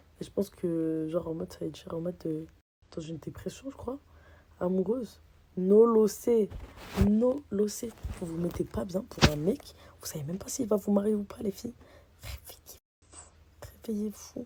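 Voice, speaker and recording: With noticeable background noise behind her, a woman speaks at a moderate pace and medium pitch, using lively intonation, big swings in loudness, and long, frequent pauses. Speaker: social media personality. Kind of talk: casual vlog rant. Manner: animated.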